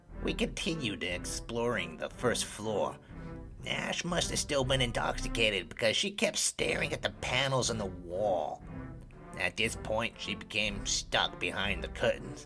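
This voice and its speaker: A man puts on a character voice at a moderate pace, with clear music in the background. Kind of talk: character narration of a tabletop game story. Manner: sarcastic, mischievous.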